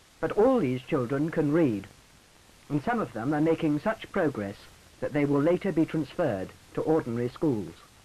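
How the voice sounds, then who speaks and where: This is an unremarkable speaking voice with lively intonation. It moves at a moderate pace. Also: man, fairly high pitch for a man. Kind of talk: 1950s educational film narration. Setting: archive film soundtrack. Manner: formal, measured, earnest.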